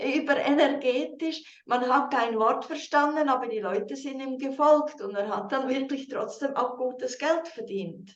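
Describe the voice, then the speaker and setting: Fairly slow pace and ordinary pitch variation. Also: woman. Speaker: team leader and interpreter. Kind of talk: video call with live interpretation. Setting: video call.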